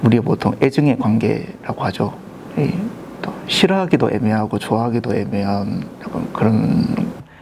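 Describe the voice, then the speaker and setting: Over noticeable background noise, a man at a medium pitch speaks at a moderate pace with very wide pitch swings. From South Korea, Pohang (Jangseong-dong). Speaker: interviewee, local resident. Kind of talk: documentary interview.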